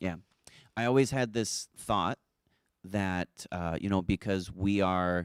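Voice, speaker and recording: A man speaks at a very slow pace in a very deep, low pitch, with ordinary pitch variation and long, frequent pauses. The sound is dry and close with no echo, on a very clean recording with a silent background. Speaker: gallery co-owner and show producer. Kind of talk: live stream chat. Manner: soft-spoken.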